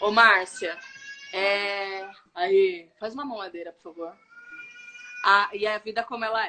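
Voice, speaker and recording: A woman speaks at a fairly slow pace with fairly even intonation, long, frequent pauses and big swings in loudness. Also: medium pitch for a woman. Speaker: live stream host, faith and wellbeing speaker. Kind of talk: casual live stream talk, personal testimony. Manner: lowered voice so the baby won't cry.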